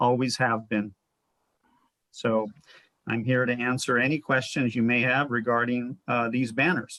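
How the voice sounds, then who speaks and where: At a moderate pace, a voice with an American accent speaks in a monotone, flat intonation, the sound dry and close with no echo. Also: man. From Los Angeles, Lincoln Heights. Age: 60s. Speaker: family business owner. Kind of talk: public comment at a meeting. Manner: polite, measured.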